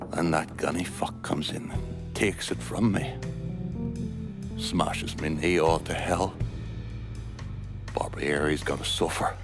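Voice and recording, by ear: A put-on character voice from a man, extremely low in pitch, slow and fairly even in intonation, with long, frequent pauses over clear music in the background.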